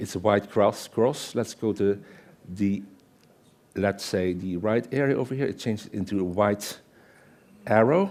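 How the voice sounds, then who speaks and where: At a fairly slow pace, a man talks with a fairly low pitch and ordinary pitch variation. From Netherlands. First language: Dutch. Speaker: Excel consultant and conference speaker; conference speaker. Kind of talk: conference presentation with live demo. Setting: stage with audience. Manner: conversational, interactive with audience.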